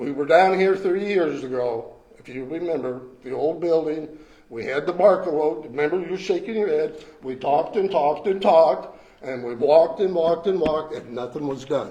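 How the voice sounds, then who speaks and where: A man speaks at a moderate pace and fairly high pitch, with ordinary pitch variation and big swings in loudness, amid audible room echo and noticeable background noise. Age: 70s. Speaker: retired resident speaking at public comment. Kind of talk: public comment at council meeting. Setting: council meeting room. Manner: blunt, emphatic.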